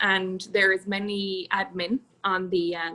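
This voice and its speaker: With an Irish accent, a woman talks at a medium pitch. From Ireland, Galway. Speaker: podcast guest coordinator. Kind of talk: casual chat.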